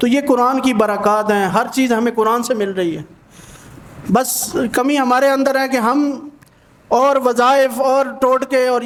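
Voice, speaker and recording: Over noticeable background noise, a man speaks at an extremely high pitch, with fairly even intonation and very even loudness. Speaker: Islamic scholar. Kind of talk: religious sermon.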